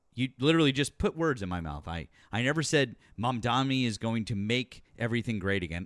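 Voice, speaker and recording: On a very clean recording with a silent background, a man talks at a fairly quick pace. His medium-pitched voice has an animated tone and lively intonation. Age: 40s. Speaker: political talk show host. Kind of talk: heated debate. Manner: animated, interrupting.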